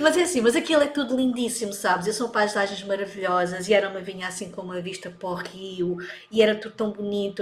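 A woman talks at a fairly quick pace with a medium pitch and ordinary pitch variation. Noticeable background noise runs underneath. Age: 40s. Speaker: digital marketing coach. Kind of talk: casual chat.

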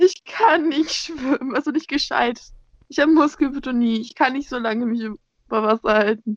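Dry and close with no echo, the recording carries a woman's high voice. She speaks at a moderate pace with lively intonation. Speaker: podcast co-host. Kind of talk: casual chat. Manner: squeaky when excited.

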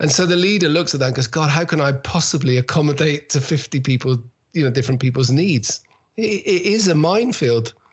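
With a fairly high pitch and lively intonation, a man speaks at a fairly quick pace in a somewhat breathy voice at a very even loudness. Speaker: keynote speaker. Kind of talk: interview. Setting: video call. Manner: playful.

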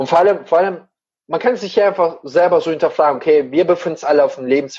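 A man speaks at a very fast pace in an animated tone. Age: 30s. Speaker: motivational speaker and coach. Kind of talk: casual interview.

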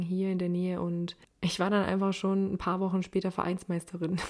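Her dark, mellow tone sits at a medium pitch as the woman speaks at a fairly quick pace. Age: 20s. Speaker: podcaster. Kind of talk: personal monologue podcast. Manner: casual, chatty.

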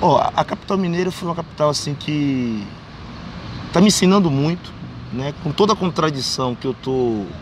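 Noticeable background noise sits behind a man speaking at a moderate pace, his fairly high pitch showing ordinary variation. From Bahia, Brazil (raised in Salvador). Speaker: street writer and poet. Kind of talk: interview.

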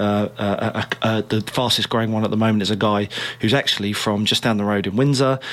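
Over noticeable background noise, a man speaks at a fairly quick pace in a fairly low pitch, with monotone, flat intonation and very even loudness. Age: 30s. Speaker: personal trainer. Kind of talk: casual chat.

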